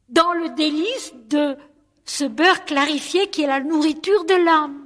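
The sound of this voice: A woman speaks at a fairly slow pace, her high pitch carrying ordinary variation and a fairly bright tone.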